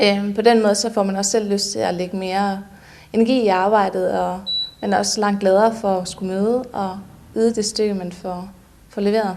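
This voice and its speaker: Amid noticeable background noise and audible room echo, a woman talks at a moderate pace with medium pitch and fairly even intonation. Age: 20s. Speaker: cleaning company employee. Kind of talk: employee testimonial interview.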